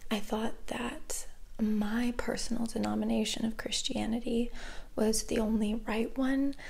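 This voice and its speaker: Over audible room echo, a woman speaks at a fairly slow pace with very even loudness. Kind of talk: personal reflection monologue. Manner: slow and deliberate at first.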